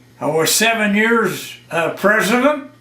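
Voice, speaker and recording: Against audible room echo, a man speaks at a very slow pace in a high pitch. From northern Ontario, Canada. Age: 80s+. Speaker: retired railway worker and war veteran. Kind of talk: oral history interview.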